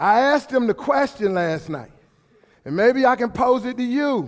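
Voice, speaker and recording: In a very clean recording with a silent background, a man speaks loudly and at a fairly slow pace, his animated tone carrying very wide pitch swings. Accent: American. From Brooklyn, New York. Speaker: motivational speaker. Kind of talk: motivational speech. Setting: hall with audience, microphone.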